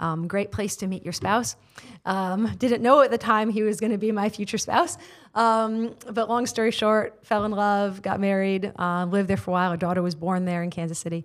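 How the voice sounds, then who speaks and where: With an American accent and a plain, everyday voice, a woman of medium pitch speaks at a moderate pace with fairly even intonation on a very clean recording against a silent background. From United States. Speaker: prayer room leader and missionary. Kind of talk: casual interview conversation with prayer. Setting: studio.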